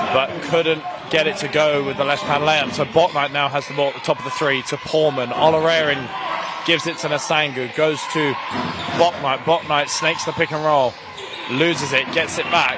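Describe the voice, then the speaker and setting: Spoken in an English accent with monotone, flat intonation, the voice comes through over noticeable background noise. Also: man, fairly high pitch for a man. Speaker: basketball commentator. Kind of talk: live commentary. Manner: fast; loud.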